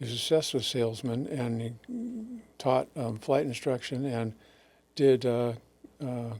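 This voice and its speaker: Using a monotone, flat intonation, a man with an American accent speaks at a medium pitch and a fairly slow pace with long, frequent pauses. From Northern California (Sacramento area). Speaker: anesthesiologist. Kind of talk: interview. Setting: studio webcast.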